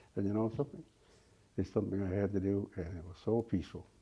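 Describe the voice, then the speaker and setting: Speaking at a very fast pace, a man uses a fairly low, somewhat breathy voice. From Labrador, Canada. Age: 70s. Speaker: Inuk elder. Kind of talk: interview. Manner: halting, with repetitions.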